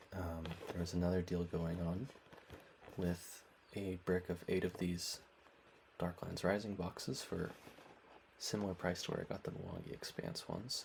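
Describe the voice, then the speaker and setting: Soft-spoken and somewhat breathy, this man has a very deep, low pitch and speaks at a moderate pace with fairly even intonation, leaving long, frequent pauses. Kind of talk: soft-spoken ASMR unboxing.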